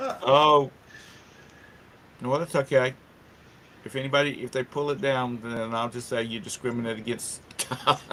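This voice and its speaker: Over noticeable background noise, a man at medium pitch speaks at a moderate pace with fairly even intonation and long, frequent pauses. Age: 60s. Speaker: talk show host. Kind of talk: casual chat.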